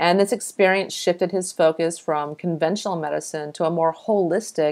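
With an American accent, a woman speaks in a very deep, low voice with fairly even intonation. Her pace is moderate, and the background is quiet. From Texas. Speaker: health podcast host. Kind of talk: scripted introduction; interview. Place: home room. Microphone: earbuds.

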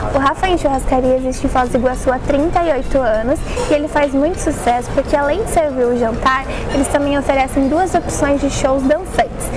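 A high-pitched woman at a fairly quick pace, with clear music in the background. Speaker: presenter. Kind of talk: casual vlog chat. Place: hall. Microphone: phone near.

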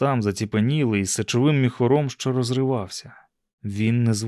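It is a natural reading voice with ordinary pitch variation. The background is quiet.

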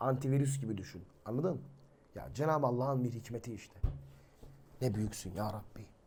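The somewhat breathy voice shows ordinary pitch variation and long, frequent pauses, with audible room echo. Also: man, medium pitch for a man. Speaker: religious teacher and YouTuber. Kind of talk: religious talk to viewers. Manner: animated.

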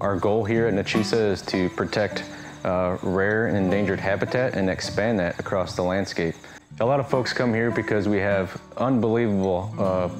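A man speaks at a moderate pace in a fairly low pitch, his intonation fairly even, with faint music in the background. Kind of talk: interview answer. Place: open country. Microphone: lapel.

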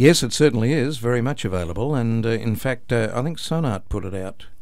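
With an Australian accent, a man talks at a fairly quick pace. His pitch is medium, with ordinary variation. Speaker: announcer, voice-over artist. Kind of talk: radio interview answer. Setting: radio studio.

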